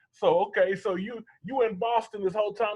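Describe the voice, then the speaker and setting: A man with an American accent at a moderate pace. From US South. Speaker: interview show host. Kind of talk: casual interview chat.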